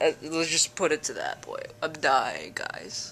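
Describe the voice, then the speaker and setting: Her speech unfolds at a fairly slow pace. Behind this woman, music is playing. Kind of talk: casual vlog chat. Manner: sick, weary, congested voice. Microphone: phone near.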